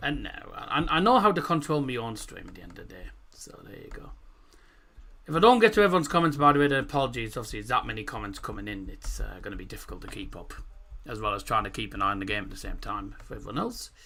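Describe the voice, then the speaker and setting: Amid audible room echo, a man talks at a very fast pace with big swings in loudness. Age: 20s. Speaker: football streamer, match watchalong host. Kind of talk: live watchalong commentary and chat reading. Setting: live stream. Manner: casual, animated.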